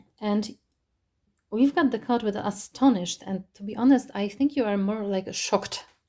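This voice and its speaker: Fairly slow, somewhat breathy speech from a woman, fairly high in pitch, dark and mellow in tone, with ordinary pitch variation. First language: not English. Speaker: tarot reader. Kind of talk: tarot reading monologue. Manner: halting, many fillers.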